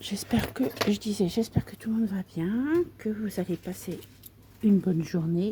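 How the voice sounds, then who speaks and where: Soft-spoken and somewhat breathy, a woman speaks at a moderate pace with a dark, mellow tone. Her medium pitch shows ordinary variation. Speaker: craft video creator. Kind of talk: casual tutorial chat.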